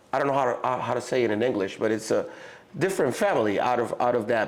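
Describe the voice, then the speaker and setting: With a Mexican accent, a man talks at a medium pitch with lively intonation. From Mexico. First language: Spanish. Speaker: rapper. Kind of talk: casual interview chat. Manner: halting, with fillers and restarts.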